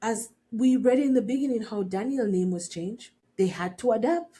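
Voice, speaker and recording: A woman talks at a fairly quick pace with a fairly high pitch, a dark, mellow tone, a somewhat breathy quality and lively intonation. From Jamaica. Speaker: podcast host. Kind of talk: reflective personal talk. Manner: conversational, with frequent restarts.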